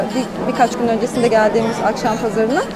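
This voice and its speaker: A woman speaks in a dry recording with no echo, with loud music playing behind her. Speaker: travel vlogger. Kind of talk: casual vlog chat. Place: market. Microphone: phone near.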